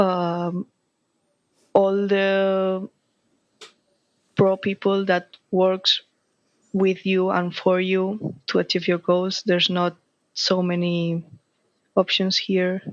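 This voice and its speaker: A woman with a Spanish accent speaks at a medium pitch, very slowly, with long, frequent pauses and flat, monotone intonation. The sound is dry and close, with no echo. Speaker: flag football player. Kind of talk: interview. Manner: halting.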